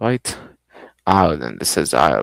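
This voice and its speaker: Vocal fry marks a man's very slow speech, with a dry, close sound and no echo. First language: Arabic. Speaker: streamer. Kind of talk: live stream gameplay commentary. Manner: halting, self-correcting.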